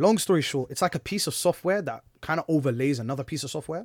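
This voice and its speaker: A man speaks at a fairly quick pace with a Bedfordshire accent and an animated tone. The recording is very clean, with a silent background. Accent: southern English, Luton. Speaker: podcast host. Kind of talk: casual chat, banter. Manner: animated, joking, fast talker.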